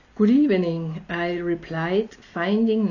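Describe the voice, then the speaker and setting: In an Austrian accent, a woman speaks at a very slow pace with a medium pitch. Her voice is somewhat breathy, and her intonation is lively. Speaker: storyteller. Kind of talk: reading aloud.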